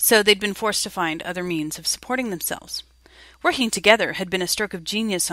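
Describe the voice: Pitch varies in a typical way during this plain reading aloud.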